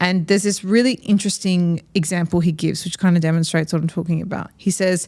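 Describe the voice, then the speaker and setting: A woman with an Australian accent, fairly low pitch, fairly even intonation and a very fast pace with hardly any pauses, on a very clean recording with a silent background. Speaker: podcast host. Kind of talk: casual interview conversation.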